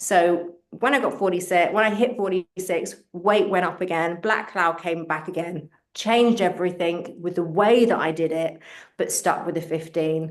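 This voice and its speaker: Speaking with a London accent, a woman with a fairly low pitch keeps a moderate pace and ordinary pitch variation. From England, London. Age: 50s. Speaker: fitness coach and author. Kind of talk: interview.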